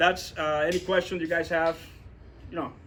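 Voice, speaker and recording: A man talks at a very fast pace. His voice sits high for a man. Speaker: real estate investor. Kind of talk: talk with audience Q&A at meetup. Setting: meetup room with audience. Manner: halting, many fillers and repetitions.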